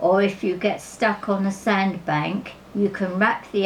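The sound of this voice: An unforced reading voice delivers the text.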